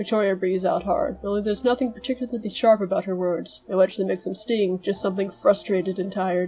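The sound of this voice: The reading voice is unforced. Its intonation is fairly even.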